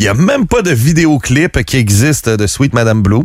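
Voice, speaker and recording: A man's voice with very wide pitch swings. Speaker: music radio columnist. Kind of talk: casual chat.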